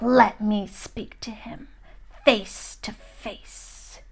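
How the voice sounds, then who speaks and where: A woman's put-on character voice, whispering, hissing and growling at a very slow pace. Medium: read story. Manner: menacing.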